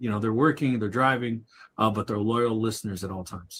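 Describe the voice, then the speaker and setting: With a bright, sharp tone and medium pitch, a man speaks at a fairly quick pace with ordinary pitch variation. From Kentucky. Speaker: livestream co-host. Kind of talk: casual chat.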